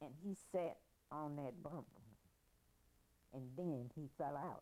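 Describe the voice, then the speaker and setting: A woman's very deep, low voice at a very slow pace. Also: ordinary pitch variation. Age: 80s+. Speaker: grandmother telling family history. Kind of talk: oral history interview.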